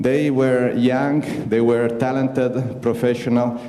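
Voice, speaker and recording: A man with an Italian accent speaks at a fairly slow pace in a medium-pitched voice, with noticeable background noise and audible room echo. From Italy. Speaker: astronaut. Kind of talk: invited talk. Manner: halting.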